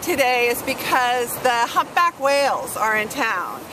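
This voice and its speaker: A woman talks loudly in a high voice at a fairly slow pace, with noticeable background noise behind her. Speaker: writing teacher. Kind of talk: tutorial. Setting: outdoors by the ocean.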